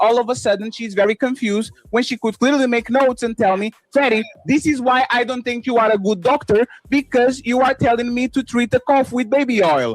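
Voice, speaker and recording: Music plays behind a man with a Brooklyn accent and an extremely high voice, speaking in an animated tone at a fairly quick pace. His pitch varies in an ordinary way. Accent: Brooklyn New York. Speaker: live stream host. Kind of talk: heated debate.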